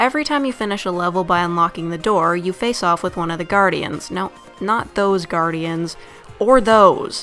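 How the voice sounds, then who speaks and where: Over music in the background, a woman speaks at a moderate pace with a medium pitch and ordinary pitch variation. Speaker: game reviewer. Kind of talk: video game review narration. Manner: casual, joking.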